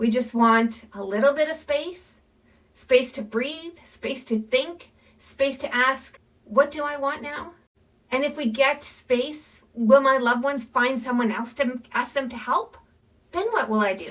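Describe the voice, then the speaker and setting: At a fairly slow pace, a woman speaks in a calm tone with a high pitch and ordinary pitch variation. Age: 50s. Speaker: midlife lifestyle vlogger. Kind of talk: reflective monologue. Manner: calm, earnest.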